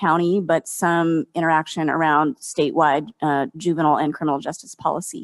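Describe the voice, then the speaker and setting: Recorded dry and close with no echo against a quiet background, a woman with a West Coast accent speaks at a fairly quick pace. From Oakland, California. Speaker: community organizer. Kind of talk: roundtable discussion. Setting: panel before observers.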